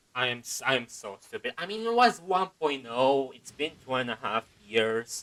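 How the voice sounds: A man's medium-pitched voice with a fairly bright tone, lively intonation and a moderate pace.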